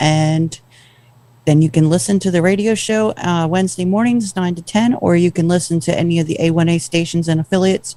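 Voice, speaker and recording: With an American accent, a woman talks at a fairly quick pace and a fairly low pitch in a dark, mellow tone. Her pitch varies in an ordinary way, and her loudness stays very even. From New Jersey. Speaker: radio co-host. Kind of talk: casual radio chat.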